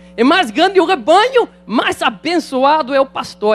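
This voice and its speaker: A man's voice with lively intonation. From Netherlands. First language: Dutch (speaking Portuguese). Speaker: pastor. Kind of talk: sermon. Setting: church.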